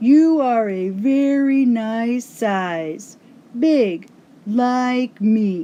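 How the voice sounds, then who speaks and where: A woman puts on a character voice with a fairly high pitch and lively intonation. She speaks at a very slow pace. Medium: read story.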